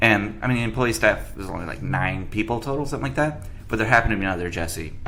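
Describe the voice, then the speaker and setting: A man talks very fast with very wide pitch swings. Music plays in the background, and the room echo is audible. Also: fairly low pitch for a man. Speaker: bartender and podcast host. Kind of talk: casual chat. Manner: mumbles a little sometimes.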